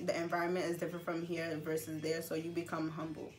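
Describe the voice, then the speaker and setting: A woman with a Gambian accent speaks at a fairly low pitch. Music plays in the background, and the room echo is audible. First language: Gambian languages. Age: 20s. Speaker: interviewee. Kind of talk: interview. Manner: halting, many fillers.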